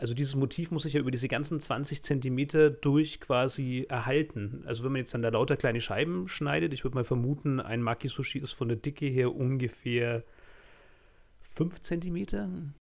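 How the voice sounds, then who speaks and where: An unremarkable speaking voice from a man, medium in pitch, moderate in pace, with ordinary pitch variation. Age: 30s. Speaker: podcast host, graphic designer. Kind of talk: casual chat.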